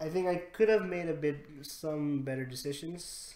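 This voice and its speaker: Audible room echo surrounds a man who speaks at a very slow pace with a non-native accent. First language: not English. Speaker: gaming squad leader. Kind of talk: debrief conversation. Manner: halting.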